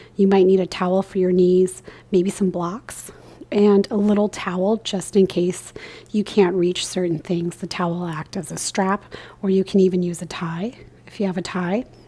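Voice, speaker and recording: Soft-spoken and medium in pitch, a woman talks at a moderate pace with fairly even intonation. She leaves long, frequent pauses. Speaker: yoga instructor. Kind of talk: guided yoga class. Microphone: new microphone, picks up soft speech.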